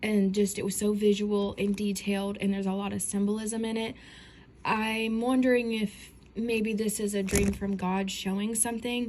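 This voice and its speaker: A woman's somewhat breathy voice, monotone and flat, at a fairly slow pace. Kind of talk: casual dream testimony. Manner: hesitant, many fillers.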